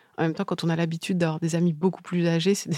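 A woman is speaking. She talks at a very fast pace. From Paris region, France (Yvelines). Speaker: novelist. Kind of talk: interview. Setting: literary festival. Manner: halting.

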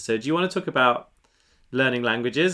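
In a plain, everyday voice, a man speaks at medium pitch with ordinary pitch variation. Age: 40s. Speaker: podcast host and author. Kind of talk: casual interview.

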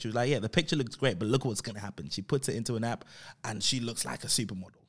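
The recording is very clean, and the background is silent. His voice sits at a medium pitch. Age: 30s. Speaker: podcast host, motivational speaker. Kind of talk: motivational monologue. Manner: animated.

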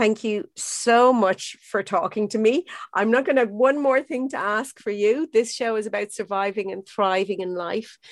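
A woman with a fairly high pitch speaks at a moderate pace with hardly any pauses and ordinary pitch variation, in a dry, close sound with no echo over a quiet background. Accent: Irish. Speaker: podcast host. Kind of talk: interview chat.

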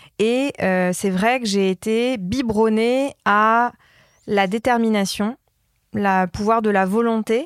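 A woman speaks very slowly with a fairly high pitch and ordinary pitch variation. The sound is dry and close with no echo, a very clean recording with a silent background. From France, Polish family. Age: 30s. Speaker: brand strategist. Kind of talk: interview. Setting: hotel room.

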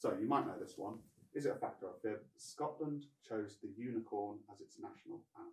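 The loudness swings widely. Delivery moves at a fairly quick pace. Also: man. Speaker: production assistant reading out questions. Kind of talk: casual chat, reading game prompts.

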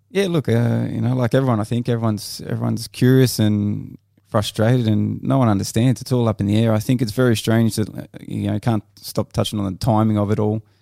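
In an Australian accent, a man speaks at a very fast pace with hardly any pauses. His medium-pitched voice has a dark, mellow tone. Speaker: former footballer and coach. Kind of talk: casual panel chat. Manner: animated.

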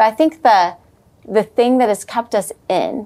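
Her tone is dark and mellow. The woman's pitch varies in an ordinary way. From Amarillo, Texas. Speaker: church leader and women's ministry founder. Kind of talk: casual interview chat.

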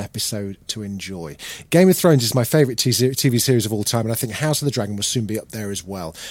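Speaking at a very fast pace, a man with a British accent uses lively intonation at a medium pitch. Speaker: podcast host. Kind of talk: casual chat.

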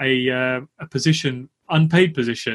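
With a London accent, a man speaks with ordinary pitch variation. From East London. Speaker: podcast host. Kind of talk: casual interview.

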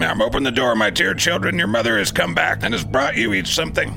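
A man rattles off his lines at a very fast pace in a hoarse, put-on character voice over loud background noise. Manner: coaxing, feigning sweetness.

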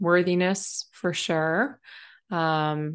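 A woman at a fairly low pitch with fairly even intonation, against a quiet background. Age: 30s. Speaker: business mentor. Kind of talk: interview.

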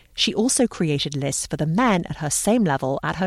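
With an unremarkable speaking voice, a woman talks at a fairly quick pace in a fairly low pitch with lively intonation, in a very clean recording with a silent background and a dry, close sound with no echo. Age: 40s. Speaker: podcast host. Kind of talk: scripted narration with interview.

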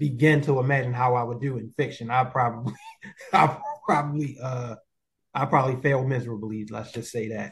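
With fairly even intonation and a medium pitch, this man's voice comes across somewhat breathy. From Baltimore, Maryland. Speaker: podcast host and life skills coach. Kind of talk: interview.

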